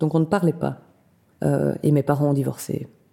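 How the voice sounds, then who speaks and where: A woman talks at a moderate pace with a dark, mellow tone and fairly even intonation. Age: 40s. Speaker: carpenter. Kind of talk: interview testimony. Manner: halting, many repetitions and hesitations.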